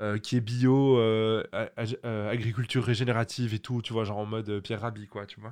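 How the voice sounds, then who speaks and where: Against a quiet background, a man speaks at a moderate pace and medium pitch with monotone, flat intonation, big swings in loudness and hardly any pauses. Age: 30s. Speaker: podcast co-host. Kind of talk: casual chat. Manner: hesitant, many fillers.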